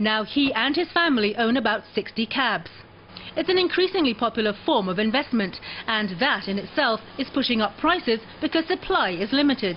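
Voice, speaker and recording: Noticeable background noise sits behind a woman's voice. Her pitch swings very widely. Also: fairly high pitch for a woman, fairly quick pace, very even loudness. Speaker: TV news reporter. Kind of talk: TV news report narration.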